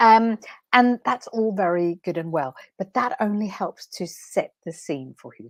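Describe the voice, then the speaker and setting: A woman with a Danish accent is heard on a very clean recording with a silent background and a dry, close sound with no echo. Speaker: transformation coach. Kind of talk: live stream talk. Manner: unscripted, hesitant with fillers.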